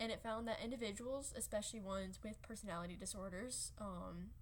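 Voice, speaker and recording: Audible room echo surrounds a woman who talks at a fairly quick pace. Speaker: student presenter. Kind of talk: class presentation. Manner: halting, frequent fillers.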